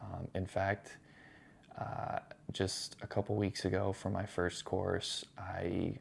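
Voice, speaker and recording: A soft-spoken man talks at a very deep, low pitch and a very slow pace, his intonation monotone and flat. The recording is very clean, with a silent background. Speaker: vlogger, new dad and cook. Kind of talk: casual vlog monologue. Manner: soft-spoken, talking low.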